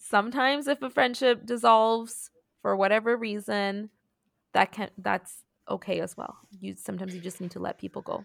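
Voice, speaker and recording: In a normal speaking voice, a woman with a fairly high pitch talks at a fairly quick pace with ordinary pitch variation, and the sound is dry and close with no echo. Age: 30s. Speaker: podcast co-host. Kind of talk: casual chat. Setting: remote recording across time zones.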